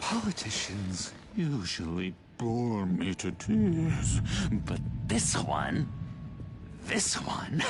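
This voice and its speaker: In a playful put-on character voice, a man speaks very slowly in a fairly low pitch with long, frequent pauses and very even loudness against clear background noise. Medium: video game. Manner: playful, giggling, insinuating.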